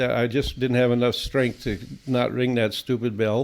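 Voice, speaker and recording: A man of medium pitch with an Upper Midwest US accent. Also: very clean recording, silent background. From southern Minnesota. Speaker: veterinarian. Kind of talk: interview storytelling.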